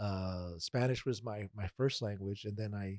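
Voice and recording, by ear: At a moderate pace, the voice has fairly even intonation and a slightly mellow tone, heard in a dry, close sound with no echo. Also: man.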